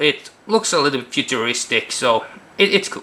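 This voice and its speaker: Speaking at a fairly high pitch, a man keeps to a moderate pace. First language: not English. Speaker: card game video reviewer. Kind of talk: casual video review. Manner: halting.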